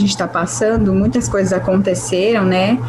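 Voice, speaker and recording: A woman's voice over noticeable background noise. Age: 20s. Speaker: journalist and handbag entrepreneur. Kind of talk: casual interview.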